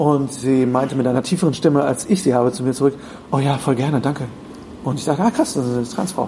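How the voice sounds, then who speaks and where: Speaking very fast, a man uses a fairly high pitch with ordinary variation. Noticeable background noise sits behind him. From Germany (rural). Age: 30s. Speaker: podcaster and voice actor. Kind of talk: interview. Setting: hotel room.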